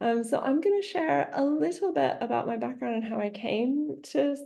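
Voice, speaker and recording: Speaking with an American accent, a woman has a high pitch and a dark, mellow tone. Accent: Appalachian accent deliberately reduced. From US Appalachia, Radford, Virginia. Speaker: historian. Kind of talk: academic talk. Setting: online seminar. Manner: casual, uses many fillers.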